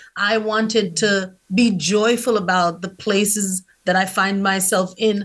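The intonation is monotone and flat. The voice is somewhat breathy. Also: woman. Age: 40s. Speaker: author and publishing coach. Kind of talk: casual chat.

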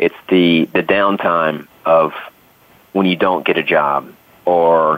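A man's very deep, low voice in a Southern US accent, very slow and monotone, with flat intonation. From US South. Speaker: actor. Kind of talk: casual chat.

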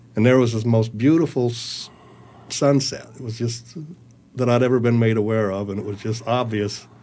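In an American accent, a man speaks at medium pitch and a moderate pace with fairly even intonation and audible room echo. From US, small-town Utah. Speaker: panel guest. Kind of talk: panel discussion.

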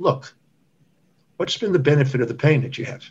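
A man's somewhat breathy, fairly high voice with an American accent and ordinary pitch variation. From Texas. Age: 60s. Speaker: doctor and author. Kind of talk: interview.

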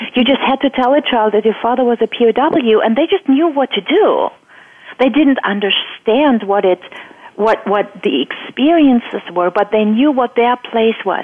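A woman with a German accent speaks at a high pitch with lively intonation and very even loudness. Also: moderate pace. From Germany. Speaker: EFT coach. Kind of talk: interview.

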